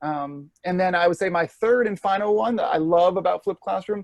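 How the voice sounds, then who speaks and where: In a dry, close sound with no echo and a quiet background, a man speaks in a high pitch with ordinary pitch variation. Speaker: former teacher, flipped learning educator. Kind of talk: interview answer, casual explanation. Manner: fast; casual, many fillers.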